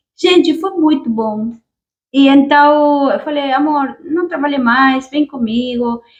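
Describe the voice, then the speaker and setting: Speaking with a Spanish accent, a woman has a high pitch. She talks at a very slow pace with ordinary pitch variation. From Argentina. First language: Spanish (speaking Portuguese). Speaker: YouTuber, immigrant. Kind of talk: casual chat; storytelling.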